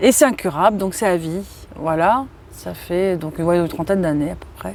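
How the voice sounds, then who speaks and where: The pace is moderate and the pitch varies in an ordinary way. Loudness swings widely. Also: woman, fairly low pitch for a woman. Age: 40s. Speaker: interviewee sharing childhood abuse. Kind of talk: testimony. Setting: outdoors in a park. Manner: halting.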